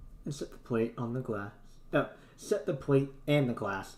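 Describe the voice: Someone reads the words out loud in a simple, unadorned way.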